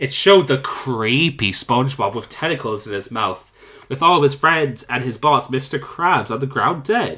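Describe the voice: The clip is plain reading aloud delivered with lively intonation.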